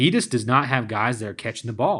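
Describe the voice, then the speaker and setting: In a very clean recording with a silent background, a man talks with a Tennessee accent. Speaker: sports podcast host. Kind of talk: casual chat.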